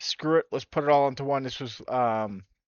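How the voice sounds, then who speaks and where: Here is a man with an American accent. He speaks at a moderate pace. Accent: New York accent when angry. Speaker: sim racing streamer. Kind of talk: gameplay commentary. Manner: animated.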